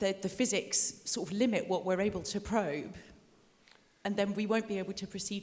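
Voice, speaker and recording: A woman speaks at a moderate pace in a medium pitch. Her intonation stays fairly even. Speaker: audience member asking a question. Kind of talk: audience question. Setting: lecture hall with audience. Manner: loud.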